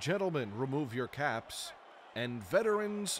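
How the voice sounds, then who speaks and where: A man speaks in an energetic tone with very wide pitch swings. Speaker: public address announcer. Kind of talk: stadium public address announcement. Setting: PA system. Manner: polished, energetic.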